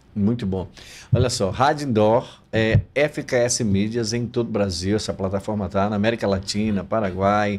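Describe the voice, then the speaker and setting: On a very clean recording with a silent background, a man speaks at a moderate pace with a fairly low pitch and fairly even intonation. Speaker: podcast host. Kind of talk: casual interview. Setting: studio.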